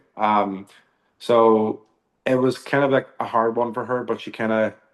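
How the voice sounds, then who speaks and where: In an Irish accent, a man speaks with monotone, flat intonation. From Northern Ireland, Belfast area. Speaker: country singer. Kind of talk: interview.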